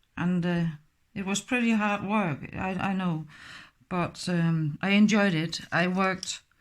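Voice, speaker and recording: Recorded very cleanly with a silent background, a woman with a Danish accent speaks at a fairly slow pace, a medium pitch and fairly even intonation. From Denmark. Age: 50s. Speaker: crafts tutorial maker. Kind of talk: tutorial. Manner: halting.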